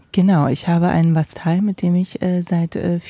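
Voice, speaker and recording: A woman's ordinary speaking voice, fairly low in pitch. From East Germany. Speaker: ice cream van buyer. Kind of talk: casual interview.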